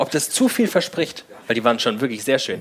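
A man speaks with a fairly high pitch. His pitch swings very widely. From Frankfurt. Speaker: podcast host. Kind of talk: live show banter. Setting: stage with audience.

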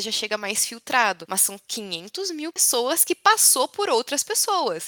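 Her bright, sharp tone and ordinary pitch variation come through clearly as this woman speaks in a very clean recording with a silent background. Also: dry, close sound with no echo. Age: 20s. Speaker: engineering intern, former student-club director. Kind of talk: interview. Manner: animated.

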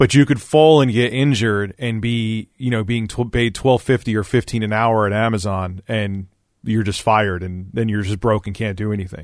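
Hardly any pauses break up the speech. It is an ordinary speaking voice. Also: man, fairly low pitch for a man, fairly even intonation, moderate pace. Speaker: podcast host and YouTuber. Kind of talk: casual interview.

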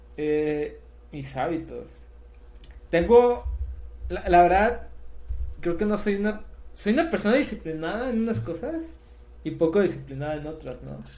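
A man speaks at a fairly slow pace with long, frequent pauses, big swings in loudness, and audible room echo. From Mexico, southern Sinaloa. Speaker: software developer and startup founder. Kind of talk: casual interview.

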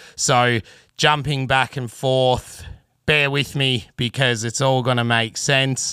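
A rural Australian accent, bright, sharp tone and monotone, flat intonation at a very slow pace, with dry, close sound, no echo, and a very clean recording over a silent background. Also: man. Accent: broad rural Australian (bogan). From Australia, country Victoria (Traralgon). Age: 30s. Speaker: podcast host, bass player and rigger. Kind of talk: solo monologue, casual storytelling.

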